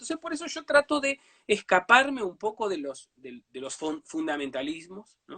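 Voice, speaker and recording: A raised, projected voice with a bright, sharp tone swings very widely in pitch. The pace is moderate and the sound is dry and close, with no echo. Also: man. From Uruguay, Brazil border region. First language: Portuñol (speaking Spanish). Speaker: writer. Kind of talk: interview. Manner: halting, many fillers.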